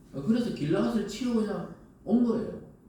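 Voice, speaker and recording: A man speaks in an animated tone with very wide pitch swings. There is audible echo from the room. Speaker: pastor. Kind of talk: sermon. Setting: church. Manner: animated, conversational.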